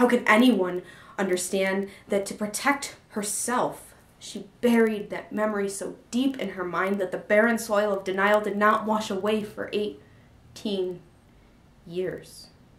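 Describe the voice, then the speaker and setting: This woman has a plain, everyday voice at medium pitch. She speaks fairly slowly with fairly even intonation. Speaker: spoken word poet. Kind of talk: poetry reading.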